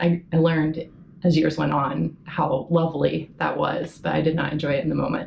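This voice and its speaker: A woman with a very deep, low pitch talks at a moderate pace, with vocal fry. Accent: American. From Oklahoma and Virginia, US. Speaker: Antarctic station worker. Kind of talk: interview testimony.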